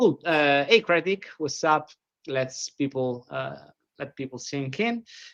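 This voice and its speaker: An Italian accent at a fairly slow pace. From Italy, Rome. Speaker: podcast host. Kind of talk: interview.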